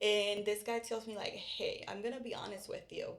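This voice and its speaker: A woman with a Puerto Rican accent speaks at a moderate pace. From Puerto Rico. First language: Spanish. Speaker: real estate podcast host. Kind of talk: casual chat.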